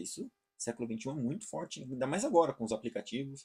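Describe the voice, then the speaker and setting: A man's voice with lively intonation. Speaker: online course teacher. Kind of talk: lecture. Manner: fast; hesitant, repeats words.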